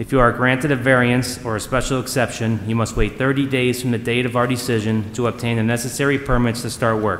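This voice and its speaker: A man speaks at a fairly quick pace with hardly any pauses, in a monotone, flat intonation. Audible room echo and light background noise sit behind him. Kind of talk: formal procedural announcement. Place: hall. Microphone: podium.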